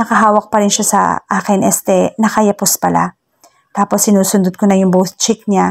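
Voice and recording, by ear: Against a quiet background, a natural voice reads aloud, its intonation fairly even.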